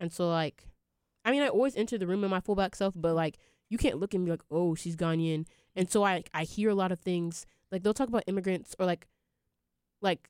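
A woman has a normal speaking voice in an American accent, at medium pitch with ordinary pitch variation. She talks at a fairly quick pace on a very clean recording with a silent background. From US Midwest. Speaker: college student. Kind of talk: casual chat.

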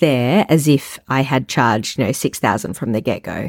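In an Australian accent, a woman speaks in a dry, close sound with no echo. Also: very clean recording, silent background. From Australia, Melbourne. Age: 30s. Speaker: wedding photographer and podcast host. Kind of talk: solo podcast monologue.

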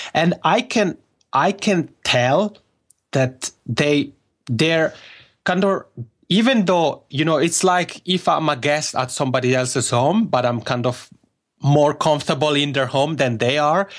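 Fairly slow, fairly high-pitched speech from a man with an Italian accent, very even loudness and ordinary pitch variation. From Italian-speaking Switzerland. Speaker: podcaster and journalist. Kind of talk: casual interview conversation.

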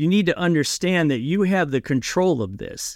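Lively intonation marks this man's moderate-paced speech, captured in a very clean recording with a silent background and a dry, close sound with no echo. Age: 50s. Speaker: blue-collar business owner and author. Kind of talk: podcast interview. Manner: animated.

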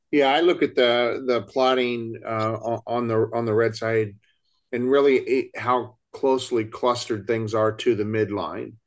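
Against a quiet background, a man with an unremarkable speaking voice talks at a medium pitch and a fairly slow pace, his intonation fairly even. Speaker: podcast co-host and CFP exam instructor. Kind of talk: casual roundtable chat.

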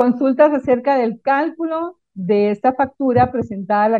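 The speaker is a woman with a high pitch. She keeps a moderate pace, and her pitch shifts in an ordinary way. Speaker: accountant. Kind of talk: tutorial; casual chat.

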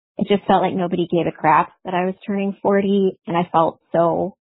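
A woman speaks in a plain, everyday voice at a moderate pace with an American accent. Her pitch is medium. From Iowa. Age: 40s. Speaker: caller. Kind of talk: testimony. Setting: phone voicemail.

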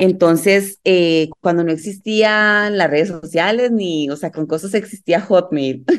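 At a fairly slow pace and with hardly any pauses, a woman at a fairly low pitch uses an ordinary speaking voice with ordinary pitch variation over a quiet background. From Colombia, Medellín. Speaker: life coach and yoga teacher, mother. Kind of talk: casual interview chat.

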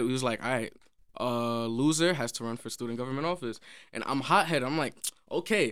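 Speaking in a New York accent, a man moves at a fairly quick pace with ordinary pitch variation on a very clean recording with a silent background. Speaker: songwriter and producer. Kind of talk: casual interview.

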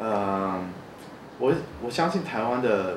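Lively intonation marks a man's medium-pitched voice. Noticeable background noise and audible room echo fill the recording. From New Zealand. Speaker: architect. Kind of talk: interview. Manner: halting.

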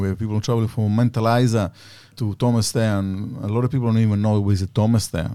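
A man with an Italian accent speaks at a moderate pace in a dark, mellow tone with fairly even intonation, on a very clean recording with a silent background. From Sicily, Italy. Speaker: cheesemaker and business owner. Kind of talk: interview.

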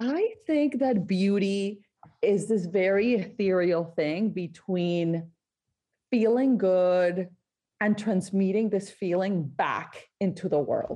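A woman with a Spanish accent speaks very slowly at a medium pitch, her dark, mellow tone held at a very even loudness with ordinary pitch variation. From Colombia, Barranquilla (Caribbean coast). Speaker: skincare entrepreneur. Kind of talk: interview.

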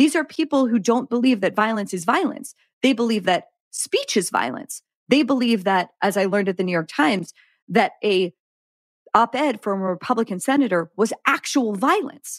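In a very clean recording with a silent background and a dry, close sound with no echo, a woman with an American accent talks at a moderate pace, fairly high in pitch, with lively intonation and a plain, everyday voice. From Pittsburgh, US. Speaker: journalist. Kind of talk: casual interview.

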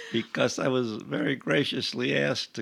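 A man at a moderate pace with an Upstate New York accent, on a very clean recording with a silent background. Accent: Upstate New York American. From Rochester, New York. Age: 80s+. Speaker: retired traveler. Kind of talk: casual interview. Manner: laid back, positive.

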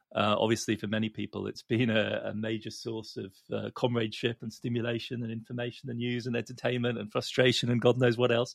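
A man with an English accent talks at a fairly quick pace and medium pitch, his intonation monotone and flat, with big swings in loudness. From England. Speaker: economics columnist, professor. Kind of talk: casual chat. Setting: remote recording, in London.

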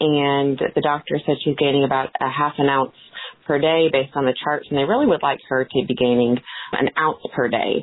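A woman speaks with an American accent in a very deep, low voice. Her loudness stays very even, and there is noticeable background noise. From Georgia, US South. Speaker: new mother caller. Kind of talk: recorded listener question.

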